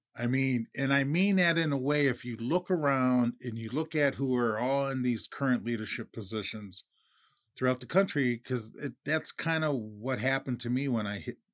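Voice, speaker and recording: A man with an American accent and a normal speaking voice talks at a medium pitch and a moderate pace, with ordinary pitch variation. The recording is very clean with a silent background and a dry, close sound with no echo. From Minnesota. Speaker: podcast co-host. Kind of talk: casual chat.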